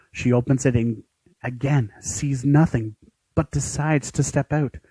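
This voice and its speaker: There is music in the background as a man speaks. The sound is dry and close, without any echo. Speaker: aspiring voice actor. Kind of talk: narrated scene reading, dramatic. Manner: narrator tone.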